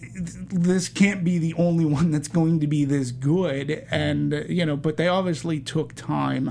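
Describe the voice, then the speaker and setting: A man with an American accent speaks at a fairly slow pace with fairly even intonation and hardly any pauses. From Massachusetts, Boston area. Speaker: film podcast panelist. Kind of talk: casual chat.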